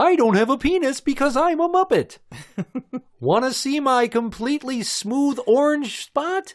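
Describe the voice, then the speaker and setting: This man uses a put-on character voice with an extremely high pitch. He keeps a moderate pace. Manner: cartoonish puppet voice, playful.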